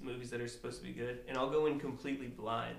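A man speaks while noticeable background noise carries on. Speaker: podcast guest. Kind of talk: casual banter.

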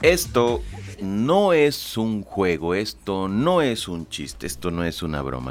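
Music plays in the background as a man speaks with lively intonation in a Mexican accent. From Mexico, Veracruz. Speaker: podcast host. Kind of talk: casual monologue. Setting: studio.

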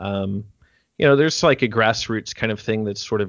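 A man talks at a fairly quick pace. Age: 30s. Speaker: percussion teacher and performer. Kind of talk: casual chat. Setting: video call.

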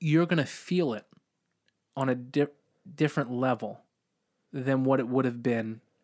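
A man at a medium pitch and moderate pace, ordinary pitch variation, in a very clean recording with a silent background. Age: 30s. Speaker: podcast host. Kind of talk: casual chat.

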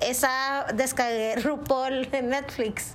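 In a room with audible echo and noticeable background noise, a woman talks at a high pitch. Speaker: podcast co-host. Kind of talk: casual chat.

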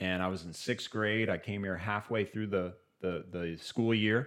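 A man talks at a moderate pace in a normal speaking voice, fairly low in pitch with ordinary pitch variation. The recording is very clean, with a silent background. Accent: American. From US Midwest, Kansas City, Missouri. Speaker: evangelist, cancer survivor. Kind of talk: testimony.

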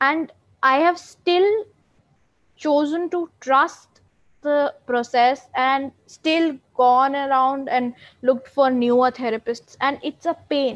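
The speech is very slow, with ordinary pitch variation and a dry, close sound with no echo. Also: woman, high pitch for a woman. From India. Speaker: lawyer and mental health advocate. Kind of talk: interview. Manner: calm.

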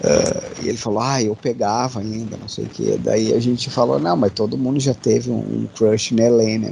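The man's moderately paced speech comes with noticeable background noise. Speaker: podcast host. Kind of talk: casual chat.

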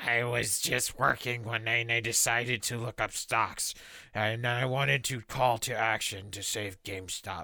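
Using a put-on character voice, a man speaks at a moderate pace in a raspy medium pitch with fairly even intonation, on a very clean recording with a silent background. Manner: mocking.

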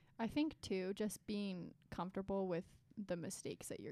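With an unremarkable speaking voice, a woman talks at a fairly quick pace with ordinary pitch variation. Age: 20s. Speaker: podcast co-host. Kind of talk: casual chat.

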